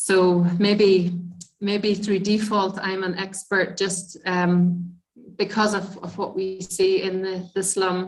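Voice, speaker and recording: A woman with a Northern Irish accent speaks at a very slow pace. Her somewhat breathy voice stays monotone and flat. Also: medium pitch for a woman. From Northern Ireland. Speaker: midwife. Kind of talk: lecture.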